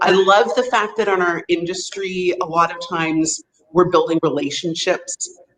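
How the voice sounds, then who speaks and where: In a Canadian accent, a woman with a plain, everyday voice speaks at a fairly slow pace, her fairly low pitch showing ordinary variation. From Vancouver, Canada. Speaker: hotel sales representative. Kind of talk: interview.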